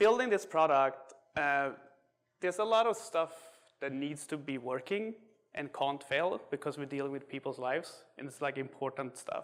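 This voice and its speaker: Lively in intonation, a man with a slight Swedish accent speaks at a moderate pace and a fairly high pitch. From Sweden. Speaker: software engineer. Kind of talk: tech talk. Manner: hesitant, many fillers.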